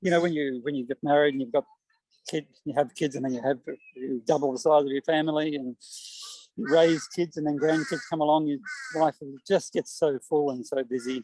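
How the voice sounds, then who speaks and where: With an Australian accent, a man speaks in a fairly high pitch with a dark, mellow tone and ordinary pitch variation. The sound is dry and close with no echo, and he takes long, frequent pauses. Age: 60s. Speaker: poet. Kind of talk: interview. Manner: halting, many repeated words.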